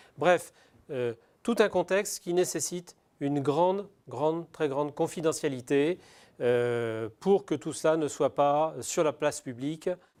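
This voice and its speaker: Fairly high in pitch with ordinary pitch variation, a man speaks at a very slow pace in a very clean recording with a silent background. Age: 60s. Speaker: business owner. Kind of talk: testimony. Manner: halting, many hesitations.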